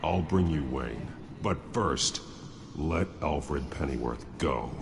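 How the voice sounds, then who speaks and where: A man's put-on character voice at a fairly slow pace, against loud background noise. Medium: video game. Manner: terse, grave.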